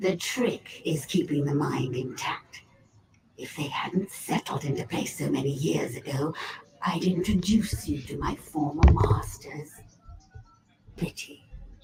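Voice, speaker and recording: In a put-on character voice pitched low-to-middle, the speaker goes at a fairly slow pace with long, frequent pauses. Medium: video game. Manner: detached, condescending.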